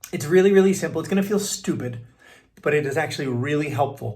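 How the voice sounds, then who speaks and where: Somewhat breathy and animated, the speaker moves at a fairly quick pace amid audible room echo. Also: man. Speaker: voice coach and keynote speaker. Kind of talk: tutorial. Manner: casual, animated.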